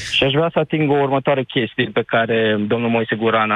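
A man with a plain, everyday voice, medium pitch, and fairly even intonation. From Romania, Suceava county. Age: 20s. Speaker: caller, engineer working abroad. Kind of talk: radio phone-in.

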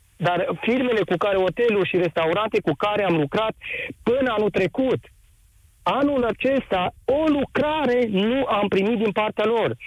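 Against noticeable background noise, the voice keeps very even loudness, a fairly slow pace and lively intonation. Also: man, high pitch for a man. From Romania, Timișoara area. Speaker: caller, small business owner. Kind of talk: live radio call-in.

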